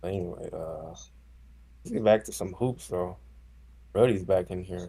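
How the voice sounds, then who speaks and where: Very deep and low, a man's dark, mellow voice carries vocal fry and ordinary pitch variation, moving at a fairly slow pace with big swings in loudness. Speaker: basketball podcast host. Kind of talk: casual chat.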